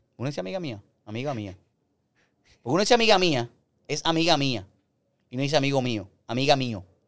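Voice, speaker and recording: The man's pitch is fairly high and swings very widely. He speaks at a fairly quick pace. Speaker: podcast host. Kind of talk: casual chat. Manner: animated.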